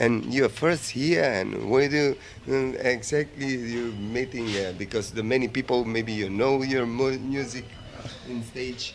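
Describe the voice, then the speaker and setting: Noticeable background noise beneath a fairly slow pace of speech. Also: man, medium pitch for a man. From North Macedonia. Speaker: music TV host. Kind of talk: interview. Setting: metal festival. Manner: animated; halting.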